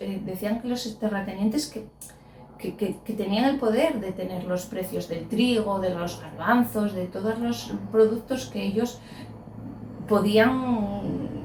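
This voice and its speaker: Noticeable background noise sits behind a woman's fairly high voice. She talks at a very slow pace with ordinary pitch variation. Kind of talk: interview answer.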